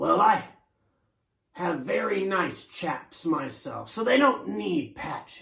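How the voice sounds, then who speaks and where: A man puts on a raspy character voice pitched high. He delivers it at a fairly slow pace. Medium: read story.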